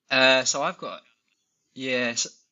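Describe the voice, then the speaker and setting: This man talks at a medium pitch with an English accent. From England. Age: 30s. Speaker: amateur ultra runner, podcast guest. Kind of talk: casual chat.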